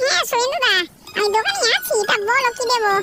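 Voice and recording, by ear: A woman puts on a squeaky, cartoonish character voice. She talks at a moderate pace.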